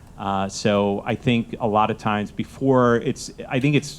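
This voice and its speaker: Fairly low in pitch, a man speaks with fairly even intonation. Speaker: venture fund manager. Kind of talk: panel discussion. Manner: asked to speak louder.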